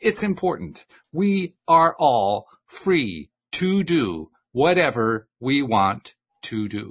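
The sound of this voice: Using a put-on character voice, a man speaks very slowly at a fairly high pitch with very wide pitch swings.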